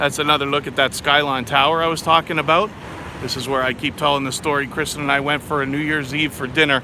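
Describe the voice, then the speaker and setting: A man with a Canadian accent at a fairly high pitch, very fast and monotone with flat intonation, over noticeable background noise. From Canada, Toronto. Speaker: travel vlogger. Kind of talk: live stream walking tour. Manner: loud.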